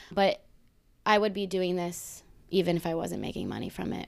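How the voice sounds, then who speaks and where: Here a woman speaks at a moderate pace. Her pitch is medium, and the recording is very clean with a silent background. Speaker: journaling workshop host. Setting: stage with live audience. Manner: casual, profane, upbeat.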